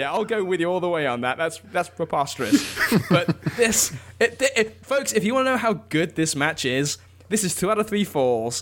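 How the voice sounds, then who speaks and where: A man in an English accent, high in pitch, with very wide pitch swings at a moderate pace. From England. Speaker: wrestling author. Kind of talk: casual chat.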